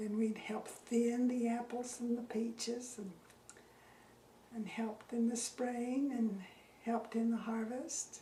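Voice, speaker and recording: With an American accent, a woman talks at a fairly slow pace in a fairly high pitch, her intonation flat and monotone, with long, frequent pauses, audible room echo and noticeable background noise. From Utah. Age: 80s+. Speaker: retired teacher interviewed about local history. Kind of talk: oral history interview. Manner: halting.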